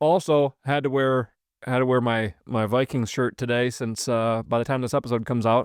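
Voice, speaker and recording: Recorded very clean with a silent background and a dry, close sound with no echo, a man with an Upper Midwest accent speaks at medium pitch and a moderate pace with fairly even intonation. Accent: Upper Midwest American. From Wisconsin. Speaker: podcast host. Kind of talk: casual chat.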